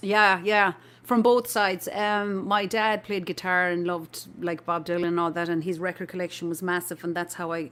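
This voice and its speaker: In an Irish accent, a woman talks at a moderate pace with hardly any pauses and fairly even intonation. The recording is very clean, with a silent background. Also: medium pitch for a woman. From Ireland, near Limerick. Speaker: folk musician. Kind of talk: casual interview chat.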